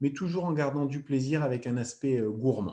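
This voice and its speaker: Against a quiet background, a man with a fairly high voice and a dark, mellow tone speaks at a fairly quick pace with ordinary pitch variation. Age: 30s. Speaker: former athlete and product distributor. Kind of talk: sales pitch. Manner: hesitant with frequent fillers.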